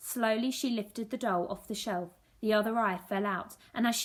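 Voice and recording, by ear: Someone is reading aloud in a natural voice with fairly even intonation.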